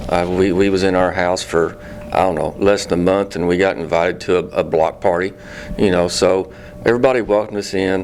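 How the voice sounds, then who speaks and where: Over noticeable background noise, a man with a very deep, low voice speaks with fairly even intonation. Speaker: city utility superintendent. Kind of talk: casual interview.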